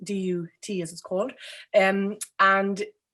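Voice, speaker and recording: The recording is very clean, with a silent background. A woman speaks at a medium pitch and a fairly slow pace. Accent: Irish. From Ireland. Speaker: architect. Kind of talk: interview. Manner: hesitant, many fillers.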